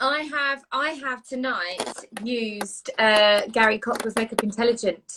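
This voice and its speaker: A woman's fairly high voice, a plain, everyday voice, at a fairly slow pace. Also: ordinary pitch variation. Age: 30s. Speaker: co-host of a live online chat show. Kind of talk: casual chat. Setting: live Instagram video stream.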